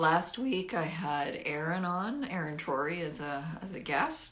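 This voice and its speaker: A woman's fairly low voice, with audible room echo and noticeable background noise. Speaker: singer-songwriter. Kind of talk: livestream talk to viewers. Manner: projected, good breath support; halting, many ums.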